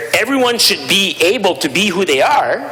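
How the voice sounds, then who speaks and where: A man speaks in a raised, projected voice at a high pitch over noticeable background noise. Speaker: provincial legislator. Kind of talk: legislative debate speech. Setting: legislative chamber. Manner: halting, repeats words.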